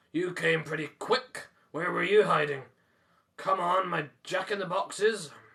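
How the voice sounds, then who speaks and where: A man's put-on character voice, high-pitched, raspy and growling, at a moderate pace. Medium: read story. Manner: growling, blunt.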